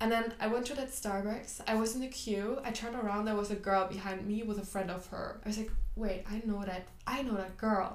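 A woman speaks with a German accent at a fairly quick pace. Her pitch sits fairly high, and her intonation stays fairly even. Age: 20s. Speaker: podcast host. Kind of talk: casual chat.

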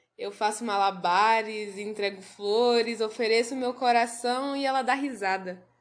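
Pitched high, a woman speaks at a fairly slow pace with ordinary pitch variation over a quiet background. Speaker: literary podcast host. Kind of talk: reading aloud; casual chat.

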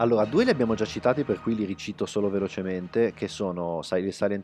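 A man's dark, mellow tone at fairly low pitch, against a quiet background. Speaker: film website writer. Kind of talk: casual chat. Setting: studio.

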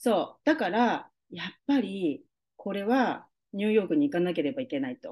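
A woman's dark, mellow, medium-pitched voice at a moderate pace, with very wide pitch swings. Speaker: holistic beautician. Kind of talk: casual interview.

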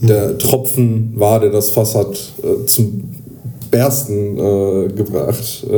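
Against noticeable background noise and audible room echo, a man with a fairly low pitch talks at a very slow pace with fairly even intonation. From northern Hesse, near Kassel. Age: 30s. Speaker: podcast host, psychiatric rehab patient. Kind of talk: casual chat. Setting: patient room in a rehab clinic. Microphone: poor recording quality.

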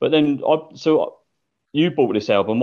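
A man talks in an unremarkable speaking voice. His pace is moderate and his intonation lively. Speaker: podcast co-host. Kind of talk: casual chat.

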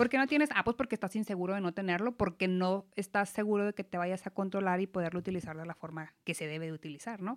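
A woman talks very fast at a medium pitch. The recording is very clean and dry, close with no echo and a silent background. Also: ordinary pitch variation. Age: 30s. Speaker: financial advisor. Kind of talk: casual chat.

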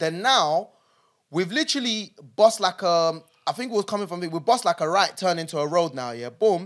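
High-pitched for a man, his animated, lively speech in a London accent runs at a fairly quick pace on a very clean recording with a silent background. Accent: London multicultural English. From London, born in Nigeria. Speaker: podcast co-host. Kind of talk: casual chat.

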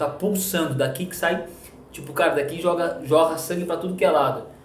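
A man's high-pitched voice at a fairly quick pace, with audible room echo and noticeable background noise. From Rio Grande do Sul, Brazil (coastal town). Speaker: pastor. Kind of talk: casual chat. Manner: animated.

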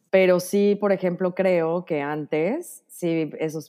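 Intonation stays fairly even in a dark, mellow tone. The background is silent and the recording very clean. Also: woman. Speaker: podcast guest. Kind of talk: casual chat.

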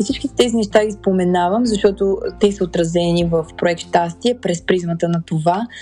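Music plays in the background. A woman speaks at a moderate pace with ordinary pitch variation. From Bulgaria, Sofia. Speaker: podcast host. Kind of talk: personal monologue. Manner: halting.

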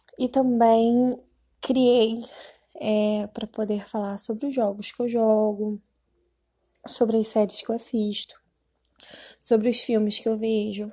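The delivery is very slow, with long, frequent pauses and monotone, flat intonation. The tone is dark and mellow and somewhat breathy. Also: woman, fairly high pitch for a woman. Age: 20s. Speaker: podcaster, gamer. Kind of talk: casual monologue.

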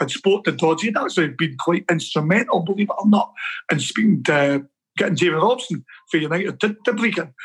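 Someone with a Scottish accent talks at a very fast pace, using ordinary pitch variation. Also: man. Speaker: football coach. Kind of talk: casual interview.

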